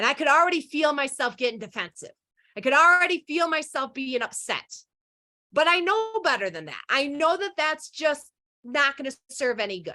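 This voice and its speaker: The voice is raised and projected, with a bright, sharp tone and lively intonation. Its delivery is animated and moves at a moderate pace. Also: woman, high pitch for a woman. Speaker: leadership coach and conference speaker. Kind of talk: presentation talk. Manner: loud.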